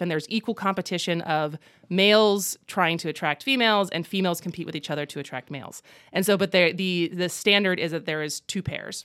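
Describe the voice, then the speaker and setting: A woman with an American accent speaks in a plain, everyday voice with fairly low pitch, ordinary pitch variation and a fairly quick pace. The recording is very clean with a silent background and a dry, close sound with no echo. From Wisconsin, US Midwest. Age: 30s. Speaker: comedian and actress. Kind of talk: casual chat. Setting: studio.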